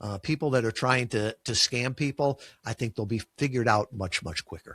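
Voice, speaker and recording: In a dry, close recording with no echo, a man with a Chicago accent speaks at a medium pitch and moderate pace with ordinary pitch variation. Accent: Chicago, drops final g. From US Midwest, Chicago. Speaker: podcast guesting agency founder. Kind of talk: interview conversation. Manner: uses filler words.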